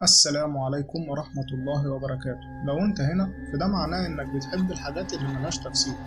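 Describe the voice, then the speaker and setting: A man at a fairly quick pace with ordinary pitch variation, over noticeable background noise. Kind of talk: horror story narration.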